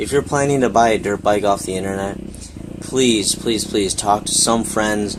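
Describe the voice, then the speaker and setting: Fairly low male voice at a moderate pace and fairly even intonation, over noticeable background noise. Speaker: motocross vlogger. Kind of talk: casual vlog talk. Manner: hesitant, many fillers.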